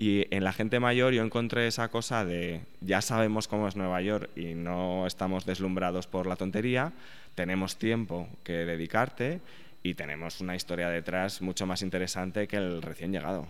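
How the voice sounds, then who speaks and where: This man has a very deep, low pitch with ordinary pitch variation. He speaks at a moderate pace. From Spain, Aragon. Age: 30s. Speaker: journalist and sociologist, author. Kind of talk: interview.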